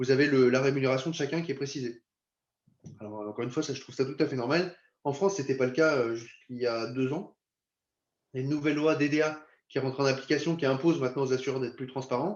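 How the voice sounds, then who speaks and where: Talking at a very fast pace, a man with a medium pitch keeps his intonation fairly even while leaving long, frequent pauses. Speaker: insurance company representative. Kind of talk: webinar presentation. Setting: video conference.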